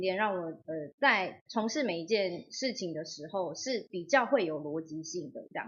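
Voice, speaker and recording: With an ordinary speaking voice, a woman of medium pitch talks at a moderate pace with lively intonation. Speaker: labour law instructor, former legal officer. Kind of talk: livestream talk.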